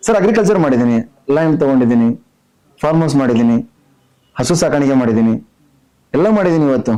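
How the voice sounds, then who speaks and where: In a plain, everyday voice, a fairly high-pitched man speaks with lively intonation and very even loudness. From North Karnataka, Belagavi district. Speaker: businessman and reality show contestant. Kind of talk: interview.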